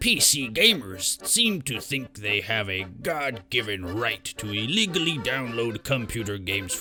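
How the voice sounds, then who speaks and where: A put-on character voice at a moderate pace. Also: man, medium pitch for a man. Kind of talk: exaggerated pirate speech. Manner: jokey, playful.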